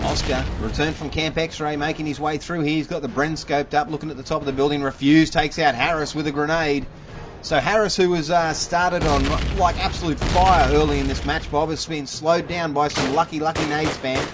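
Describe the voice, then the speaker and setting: A man with a fairly high pitch talks fairly quickly while noticeable background noise carries on behind him. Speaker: game caster / commentator. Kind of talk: live esports match commentary (shoutcast). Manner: excited, energetic.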